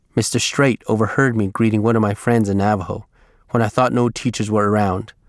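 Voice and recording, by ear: Here someone reads aloud in a natural voice. Their intonation is fairly even.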